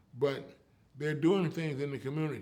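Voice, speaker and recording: Audible room echo surrounds this speaker. He is a man with a fairly high pitch. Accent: American. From US West Coast, East Oakland, California. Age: 80s+. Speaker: storyteller and community elder. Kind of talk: interview.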